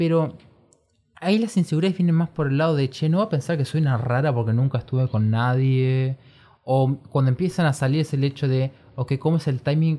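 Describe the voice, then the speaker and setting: Rather brisk speech comes through on a very clean recording with complete background silence. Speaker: podcast co-host. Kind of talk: casual chat. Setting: small bedroom studio. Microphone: new individual microphone.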